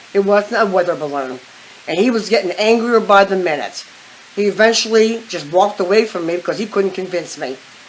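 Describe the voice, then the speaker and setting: With noticeable background noise, a woman of medium pitch speaks in an American accent with ordinary pitch variation. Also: fairly quick pace. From western Pennsylvania. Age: 60s. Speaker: eyewitness interviewee. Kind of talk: interview.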